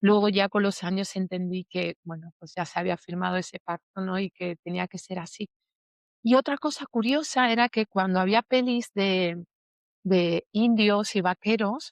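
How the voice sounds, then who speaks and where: A plain, everyday voice speaks fairly slowly with ordinary pitch variation and big swings in loudness, in a dry, close sound with no echo. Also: woman, medium pitch for a woman. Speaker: emotional healing teacher. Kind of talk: interview testimony.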